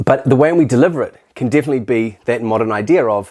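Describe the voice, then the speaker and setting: With a New Zealand accent, a man speaks in a dark, mellow tone with ordinary pitch variation. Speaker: teacher. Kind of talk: casual talk to camera. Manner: fast; animated, halting with restarts.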